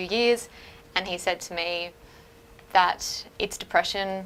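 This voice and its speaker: A woman with an Australian accent speaks at a moderate pace in a medium pitch, her tone bright and sharp. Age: young. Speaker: woman with chronic illness. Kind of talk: testimony.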